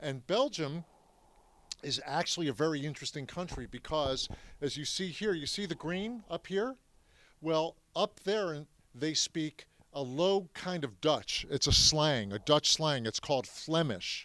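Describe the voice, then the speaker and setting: A man's fairly slow voice, fairly high-pitched, with a bright, sharp tone and lively intonation. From US, Philadelphia. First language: French. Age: 70s. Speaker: Holocaust history speaker. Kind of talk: talk to audience. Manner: animated.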